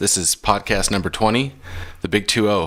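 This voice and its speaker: A man speaks in a fairly low voice at a fairly quick pace. Music plays in the background. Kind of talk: podcast host talk. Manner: casual.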